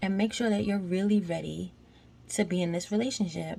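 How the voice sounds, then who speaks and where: A woman speaks quietly and somewhat breathily at a moderate pace. Her tone is dark and mellow. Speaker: vlogger. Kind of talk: casual vlog monologue. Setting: at home washing dishes at night. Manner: quiet, trying to be low; animated, conversational.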